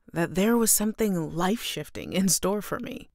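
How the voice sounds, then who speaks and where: Speaking with an American accent, a woman has a normal speaking voice at medium pitch with ordinary pitch variation, on a very clean recording with a silent background. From San Francisco Bay Area, USA. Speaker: voice actor, singer and expression coach. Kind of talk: personal introduction story to camera (LinkedIn profile).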